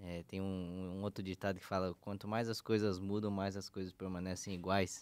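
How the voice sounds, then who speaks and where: A man's very deep, low voice at a moderate pace with monotone, flat intonation. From São Paulo, Brazil. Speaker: podcast co-host, pastor. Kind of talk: casual religious discussion. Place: studio. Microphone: studio mic.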